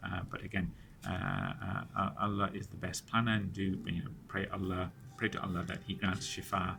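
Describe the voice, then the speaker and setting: Pitched fairly low with ordinary pitch variation, a man speaks at a moderate pace amid audible room echo. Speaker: Islamic study circle teacher. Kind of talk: lecture. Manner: halting, many fillers and repetitions.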